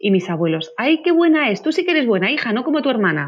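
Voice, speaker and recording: A woman's pitch swings very widely as she talks at a fairly quick rate. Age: 40s. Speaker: parenting author. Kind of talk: interview. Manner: animated.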